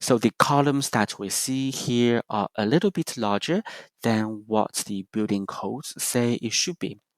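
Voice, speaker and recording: A man with a slight non-native accent speaks at a fairly slow pace and medium pitch, with ordinary pitch variation. The sound is dry and close, with no echo. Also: very clean recording, silent background. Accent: slight foreign. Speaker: presenter giving a building tour. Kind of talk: prepared presentation, simulated guided tour. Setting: recorded for virtual practice session.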